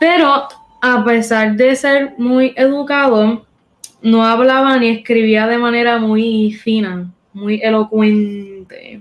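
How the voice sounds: Her pitch is fairly high for a woman. She speaks at a slow pace. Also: fairly even intonation.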